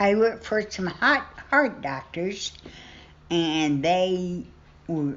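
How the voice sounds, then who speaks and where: In an American accent, a woman speaks at a very slow pace with long, frequent pauses, a medium pitch, and very wide pitch swings. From Southern Illinois and Southern Indiana. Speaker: retired nurse. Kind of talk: interview answer.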